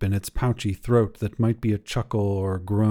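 Natural-voiced reading aloud, intonation fairly even throughout.

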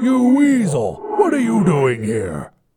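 A man puts on a character voice. He speaks fairly slowly at a high pitch. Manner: growling, annoyed.

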